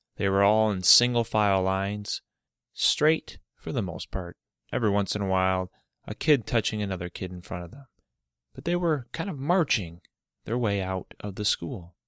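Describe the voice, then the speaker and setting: On a very clean recording with a silent background and a dry, close sound with no echo, a man with an American accent speaks in a plain, everyday voice at a fairly low pitch, with lively intonation and a moderate pace. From Michigan. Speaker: children's storyteller podcaster. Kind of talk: reading aloud a children's story.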